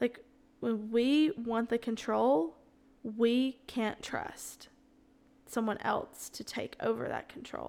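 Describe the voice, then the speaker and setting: In a Southern US accent, a woman with a fairly high pitch and ordinary pitch variation speaks at a very slow pace, leaving long, frequent pauses. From US South, Alabama. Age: 20s. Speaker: podcast host, church ministry worker. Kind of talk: casual chat, solo Q&A. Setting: home kitchen recording. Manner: casual, unscripted, conversational.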